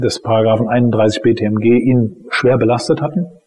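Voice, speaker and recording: Noticeable background noise beneath a man's voice at a medium pitch. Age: 40s. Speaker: criminal defense lawyer. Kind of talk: interview. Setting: office.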